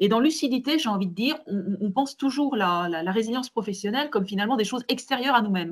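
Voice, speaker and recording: A woman's fairly high, somewhat breathy voice with lively intonation, very fast and with hardly any pauses. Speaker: manager and webinar panelist. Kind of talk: online webinar discussion. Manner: hesitant, many repetitions.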